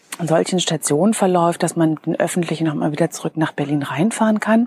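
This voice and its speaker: A woman with a plain, everyday voice speaks at a fairly low pitch with ordinary pitch variation, the sound dry and close with no echo. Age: 40s. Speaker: podcast host and business coach. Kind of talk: personal storytelling monologue. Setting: outdoors at night.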